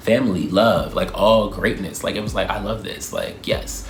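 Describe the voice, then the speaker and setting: A man with an American accent speaks in an animated tone. Noticeable background noise and audible room echo surround him. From Baltimore, US. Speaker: YouTuber. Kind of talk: Q&A vlog, casual monologue. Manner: fast.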